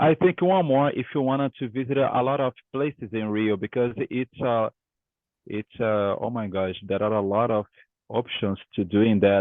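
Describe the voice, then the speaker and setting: Male speech at a medium pitch, moderately paced, ordinary pitch variation. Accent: Portuguese. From Brazil, Rio de Janeiro. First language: Portuguese. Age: 20s. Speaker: English student. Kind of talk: language lesson conversation. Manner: halting.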